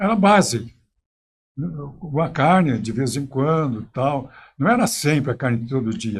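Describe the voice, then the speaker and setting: A man speaks in a somewhat breathy voice with lively intonation. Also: very clean recording, silent background. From Minas Gerais, Brazil. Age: 90s. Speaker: historian and teacher. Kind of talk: interview.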